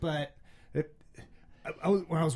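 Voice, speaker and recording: A somewhat breathy man's voice with a slight Minnesota accent, moderate in pace, with ordinary pitch variation. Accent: faint Minnesota. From Minnesota, St. Cloud. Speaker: podcast host. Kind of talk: casual chat.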